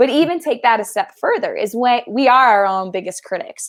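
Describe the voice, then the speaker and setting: This woman's voice sits at a high pitch. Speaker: sales training and video coaching expert. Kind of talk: podcast interview. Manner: fast.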